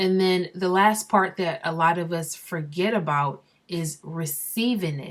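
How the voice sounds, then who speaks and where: The recording is very clean and the background silent. Her pitch varies in an ordinary way as this woman talks. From Barbados. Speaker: vlogger. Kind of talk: casual vlog monologue. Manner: conversational.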